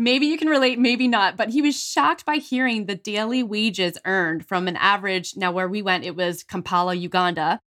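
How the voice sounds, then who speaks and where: A woman's medium-pitched, a normal speaking voice, fairly quick with hardly any pauses and lively intonation. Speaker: podcast host. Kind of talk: podcast interview, host intro and chat. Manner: warm, upbeat.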